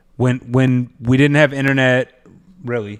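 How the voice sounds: Moderately paced man with a medium pitch and clear, smooth tone, on a very clean recording with a silent background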